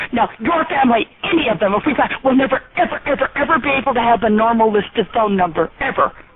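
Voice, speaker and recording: A woman speaks at a very fast pace and high pitch, with hardly any pauses. Her loudness stays very even over noticeable background noise. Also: lively intonation. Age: old. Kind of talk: angry phone call. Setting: phone line.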